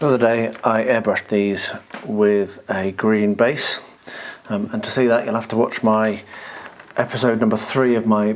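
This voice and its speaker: Against noticeable background noise, a man with a British accent speaks at a moderate pace and medium pitch in a flat, monotone way. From Britain. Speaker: hobby vlogger. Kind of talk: hobby tutorial vlog. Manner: quiet, soft-spoken.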